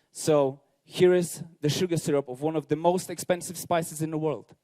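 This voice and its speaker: The voice has a dark, mellow tone and a Polish accent. The sound is dry and close, with no echo. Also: man. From Poland. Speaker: bartender. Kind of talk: competition presentation. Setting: stage with audience.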